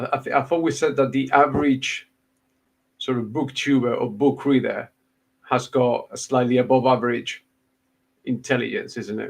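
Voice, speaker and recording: A man talks with vocal fry and monotone, flat intonation. He keeps a moderate pace but takes long, frequent pauses. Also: medium pitch for a man. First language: Spanish. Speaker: booktuber, podcast host. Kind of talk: casual chat.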